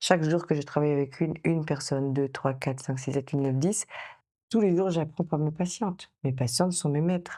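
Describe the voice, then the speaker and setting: In a very clean recording with a silent background, a woman speaks with a very deep, low pitch, a dark, mellow tone and ordinary pitch variation. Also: moderate pace. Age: 60s. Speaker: therapist. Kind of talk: interview. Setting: recorded in Dakar. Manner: hesitant, filler-heavy.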